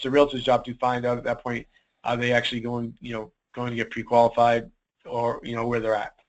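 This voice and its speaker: A man with a Boston accent talks at a very fast pace in a medium pitch. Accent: Boston accent, often mistaken for Australian. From US Northeast, Boston. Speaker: real estate broker and lead conversion trainer. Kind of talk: webinar Q&A. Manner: casual, many fillers.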